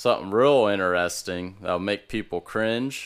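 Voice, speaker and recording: Heard in a very clean recording with a silent background, a man has an ordinary speaking voice. He keeps a moderate pace with ordinary pitch variation. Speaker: podcast host. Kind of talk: casual chat.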